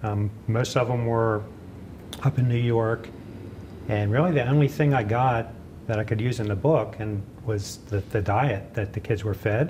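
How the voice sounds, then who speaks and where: Light background noise sits behind a man speaking at a moderate pace. He uses ordinary pitch variation and long, frequent pauses. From central Pennsylvania, Gettysburg; Pennsylvania. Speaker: author and farmers market vendor; farmers market vendor. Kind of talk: interview. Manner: halting. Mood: relaxed, reflective. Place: hall.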